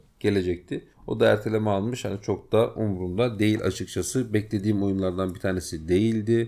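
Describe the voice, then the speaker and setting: Speaking at a fairly quick pace, a man has a fairly low pitch, a dark, mellow tone and fairly even intonation. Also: hardly any pauses. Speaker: gaming podcast host. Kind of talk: casual chat.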